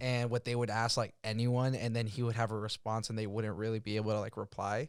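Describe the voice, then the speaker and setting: A man at medium pitch, very fast and monotone with flat intonation, on a very clean recording with a silent background. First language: not English. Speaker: podcast host and DJ. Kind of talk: casual chat.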